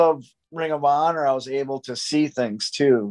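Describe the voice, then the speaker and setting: The speaker keeps a moderate pace with ordinary pitch variation. The background is quiet. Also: man. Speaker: professional wrestler; podcast guest. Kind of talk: casual interview chat. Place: home room. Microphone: video call.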